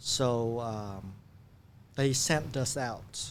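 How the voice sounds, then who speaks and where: With a Vietnamese accent, a man speaks with ordinary pitch variation. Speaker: refugee turned businessman. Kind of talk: podcast interview. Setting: studio. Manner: halting with fillers.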